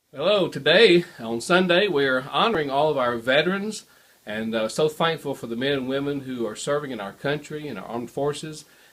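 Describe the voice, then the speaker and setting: Over noticeable background noise, a man with a fairly high pitch speaks at a fairly quick pace with lively intonation. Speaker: pastor. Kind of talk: interviewer.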